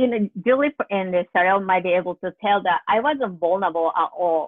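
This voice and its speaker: A woman speaks in an ordinary speaking voice at a moderate pace. Her pitch is medium, with ordinary variation. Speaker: higher education advisor and faculty. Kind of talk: casual panel discussion.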